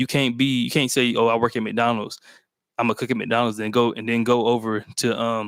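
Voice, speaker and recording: On a very clean recording with a silent background, a man talks at a fairly quick pace with a medium pitch and monotone, flat intonation. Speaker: book club host. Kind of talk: live book discussion. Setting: livestream. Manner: fast; slurred at times.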